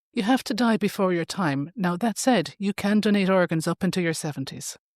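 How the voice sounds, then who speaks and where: In a very clean recording with a silent background and a dry, close sound with no echo, a woman has an ordinary speaking voice at a medium pitch, talking at a fairly quick pace with ordinary pitch variation. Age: 60s. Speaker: ICU consultant doctor. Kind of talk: podcast interview.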